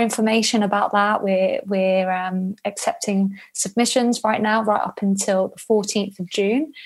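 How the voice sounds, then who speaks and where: Woman with a British accent, fairly slow and monotone, in a very clean recording with a silent background. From Spain. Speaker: travel journalist. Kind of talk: interview.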